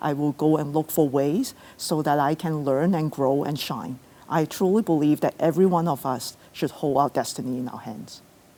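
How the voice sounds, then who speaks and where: Very deep and low in pitch, a woman's voice carries a dark, mellow tone. She keeps a moderate pace with hardly any pauses. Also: ordinary pitch variation. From came to Canada at age ten, immigrant. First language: not English. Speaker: city lawyer and executive. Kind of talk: interview on stage at virtual event. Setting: theatre stage. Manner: hesitant with fillers.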